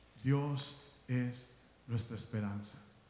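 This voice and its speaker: Somewhat breathy speech comes at a very slow pace. Audible room echo surrounds it. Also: man. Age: 30s. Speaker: pastor. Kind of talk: sermon.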